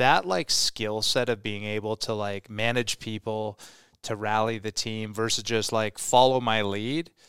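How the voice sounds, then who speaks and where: Fairly even in intonation and fairly low in pitch, a man speaks at a fairly slow pace on a very clean recording with a silent background and a dry, close sound with no echo. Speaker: fitness company co-founder. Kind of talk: casual chat. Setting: studio.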